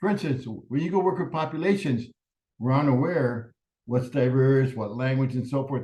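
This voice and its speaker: A man talks at a moderate pace with a medium pitch and ordinary pitch variation. His tone is dark and mellow, and somewhat breathy. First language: Spanish. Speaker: professor. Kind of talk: lecture.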